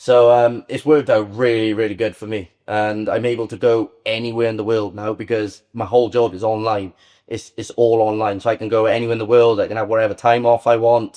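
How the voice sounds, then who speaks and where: Over a quiet background, a man with a Welsh accent speaks at a fairly quick pace with hardly any pauses, in a dark, mellow tone and monotone, flat intonation. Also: medium pitch for a man. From Wales. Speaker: Muay Thai fighter and online psychic medium. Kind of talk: podcast interview.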